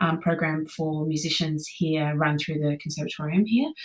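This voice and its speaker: A woman talks with an Australian accent in a very deep, low voice. Her pace is moderate and her intonation fairly even. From Australia, Brisbane, Queensland. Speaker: conductor and music teacher. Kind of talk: podcast interview. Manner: hesitant, many fillers.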